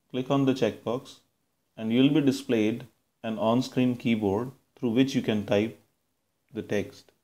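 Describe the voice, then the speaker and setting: A fairly slow speaker in a Punjabi accent, with a dark, mellow tone and fairly even intonation. Long pauses come often. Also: man, medium pitch for a man. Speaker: computer science lecturer and software developer. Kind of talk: software tutorial.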